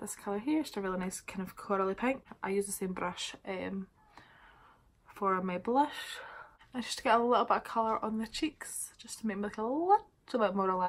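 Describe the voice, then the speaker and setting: A woman with a Scottish accent speaks at medium pitch with ordinary pitch variation and a fairly quick pace. Her loudness swings widely, and she takes long, frequent pauses. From Scotland. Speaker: beauty vlogger. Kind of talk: casual makeup tutorial to camera. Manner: casual, chatty.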